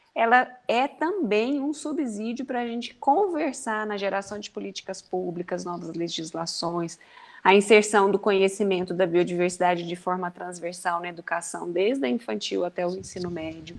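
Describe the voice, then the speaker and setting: In a normal speaking voice, a woman talks at a moderate pace with hardly any pauses, medium pitch, lively intonation and big swings in loudness. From Brazil, Goiás. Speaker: university professor, speaker. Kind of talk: closing remarks at online talk.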